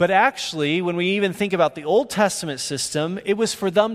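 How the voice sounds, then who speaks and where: This man's voice sits high in pitch. It varies in pitch in an ordinary way. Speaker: preacher. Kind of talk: sermon. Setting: church; stage with audience.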